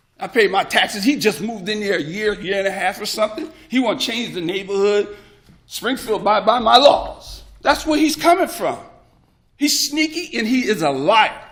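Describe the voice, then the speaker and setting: At a moderate pace, a man talks in an animated tone with a high pitch and very wide pitch swings. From New Jersey, Paterson. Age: 60s. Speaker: resident speaking at public hearing. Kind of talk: public comment.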